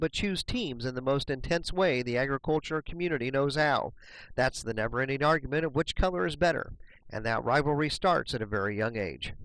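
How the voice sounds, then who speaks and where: Over a silent background in a very clean recording, an unremarkable speaking voice moves at a fairly quick pace with lively intonation. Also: man. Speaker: news reporter / narrator. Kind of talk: news report narration.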